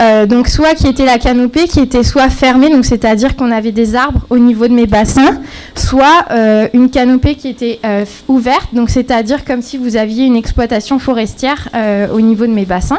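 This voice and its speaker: A quiet woman at a moderate pace with hardly any pauses, high pitch, ordinary pitch variation and noticeable background noise. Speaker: graduate student presenting thesis. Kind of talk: timed thesis presentation. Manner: halting, many fillers; too quiet.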